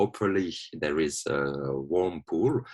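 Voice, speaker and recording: A man speaks with a non-native accent. His pitch is very deep and low, and his pace is very slow. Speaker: watsu therapist. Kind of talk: presentation. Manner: halting.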